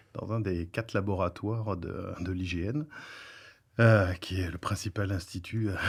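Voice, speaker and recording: Somewhat breathy and very deep in pitch, a man speaks at a fairly slow pace with fairly even intonation. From France. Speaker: professor and researcher. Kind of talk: podcast interview. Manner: hesitant, many filler sounds.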